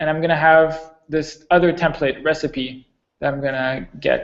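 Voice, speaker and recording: Pitched fairly high with fairly even intonation, a man talks in an unremarkable speaking voice. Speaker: software developer giving a tech talk. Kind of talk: technical presentation.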